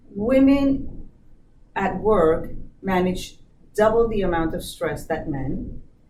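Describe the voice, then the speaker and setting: A woman speaks at a very slow pace with long, frequent pauses, her medium-pitched voice carrying lively intonation over audible room echo. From born in US, Colombian family. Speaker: business diversity manager. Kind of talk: interview.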